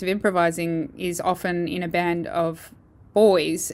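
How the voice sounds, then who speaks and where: A woman with an Australian accent speaks at a fairly low pitch on a very clean recording with a silent background. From Perth, Western Australia. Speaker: jazz saxophonist and bandleader. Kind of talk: interview.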